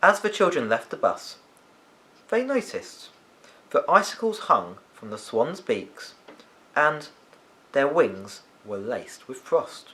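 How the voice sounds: Speaking slowly with long, frequent pauses, a man of medium pitch makes big pitch swings in a bright, sharp tone.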